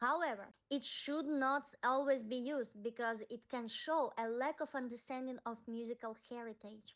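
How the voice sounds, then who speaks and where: High woman's voice with a non-native accent, at a fairly slow pace and with ordinary pitch variation. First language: not English. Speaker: music commentator. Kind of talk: video essay.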